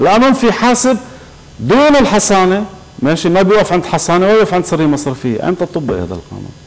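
A man with a high-pitched voice speaks at a fairly quick pace. His pitch swings very widely. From Lebanon. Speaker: political researcher and writer; TV guest. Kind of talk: TV talk show interview. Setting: TV studio. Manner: animated. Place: studio.

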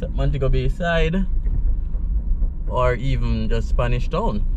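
Noticeable background noise under a man's dry voice with no echo. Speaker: channel host. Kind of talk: casual driving commentary. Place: car. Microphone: phone near.

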